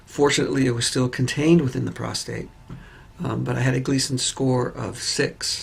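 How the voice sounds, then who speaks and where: With a somewhat breathy voice, a man of medium pitch speaks at a moderate pace and with fairly even intonation. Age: 60s. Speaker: patient. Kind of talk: testimony. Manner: hesitant with fillers.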